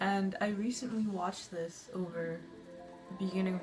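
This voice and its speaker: With music playing behind her, a woman with a fairly low pitch talks in a nervous tone at a moderate pace. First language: not English. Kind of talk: casual movie review to camera. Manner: nervous, frequent fillers.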